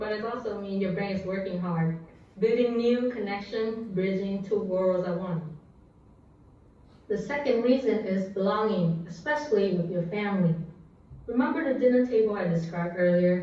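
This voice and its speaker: A woman talks at a moderate pace in a medium pitch with ordinary pitch variation. Noticeable background noise and audible room echo fill the recording. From Vietnam. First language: Vietnamese. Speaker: public speaker. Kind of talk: prepared speech.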